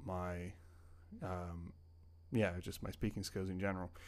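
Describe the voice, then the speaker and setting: On a very clean recording with a silent background, a man speaks at a fairly low pitch. His intonation is monotone and flat. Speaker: language learning YouTuber and podcaster. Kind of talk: casual solo podcast ramble. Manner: hesitant, filler-heavy, conversational.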